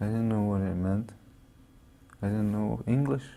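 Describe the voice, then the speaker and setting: Speaking with a Canadian accent, a man has a fairly low pitch and a dark, mellow tone. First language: Cree. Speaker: boarding school survivor. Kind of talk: testimony.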